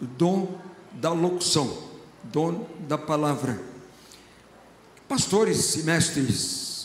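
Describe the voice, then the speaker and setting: A man with a fairly high voice keeps his intonation fairly even amid audible room echo. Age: 70s. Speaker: pastor. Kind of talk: sermon. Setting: church.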